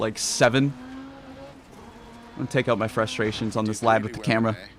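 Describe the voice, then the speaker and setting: A man speaks in an animated tone at a fairly quick pace and medium pitch. Noticeable background noise sits behind him. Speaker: speedrunner. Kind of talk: live gameplay commentary. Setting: livestream. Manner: casual, animated.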